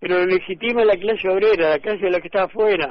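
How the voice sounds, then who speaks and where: Fairly level intonation marks this fairly quick speech. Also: man. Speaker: railway engineer. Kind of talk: radio interview.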